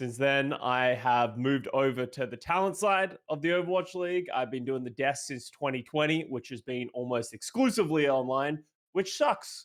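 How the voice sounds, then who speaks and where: A man speaks with an Australian accent at a moderate pace. He hardly pauses at all. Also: fairly high pitch for a man, ordinary pitch variation. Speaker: esports analyst, retired pro player. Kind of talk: casual chat.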